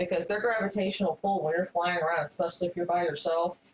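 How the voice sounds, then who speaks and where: A woman with a plain, everyday voice talks at a fairly quick pace. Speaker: channel owner telling a personal story. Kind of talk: casual storytelling while drawing.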